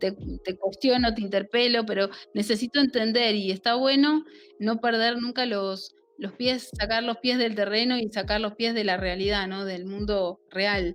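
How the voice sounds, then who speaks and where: Music plays in the background as a woman speaks at a fairly slow pace. Her fairly high pitch holds a fairly even intonation. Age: 40s. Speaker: national legislator. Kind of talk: interview.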